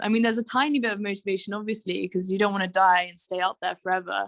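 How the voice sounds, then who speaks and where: A woman speaks with a British accent at a medium pitch, her intonation fairly even. The recording is very clean with a silent background. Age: 20s. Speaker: mountaineer. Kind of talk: interview. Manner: frequent fillers (um, you know).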